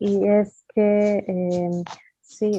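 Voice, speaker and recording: A woman talks with monotone, flat intonation. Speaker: interpreter. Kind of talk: interpreting. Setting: video call.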